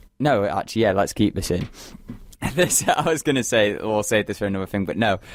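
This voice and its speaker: In a Mancunian accent, a man talks with lively intonation at a fairly low pitch. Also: fairly quick pace. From Manchester, England. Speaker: radio host. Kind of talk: casual chat.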